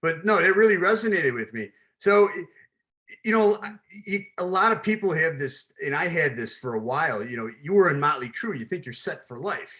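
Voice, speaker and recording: A man with an American accent talks at a fairly quick pace in a high voice. His pitch swings very widely, and his loudness rises and falls sharply. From Chicago, US. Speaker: podcast host, logistics business. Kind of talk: casual interview.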